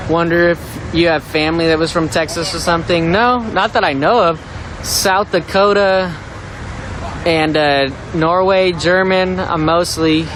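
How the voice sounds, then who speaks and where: A man with a high voice speaks at a fairly slow pace, his intonation fairly even and his loudness very even, over noticeable background noise. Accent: American. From US Pacific Northwest, Seattle. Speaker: live protest streamer. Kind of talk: live street commentary. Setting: outdoors at a street protest. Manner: casual, conversational.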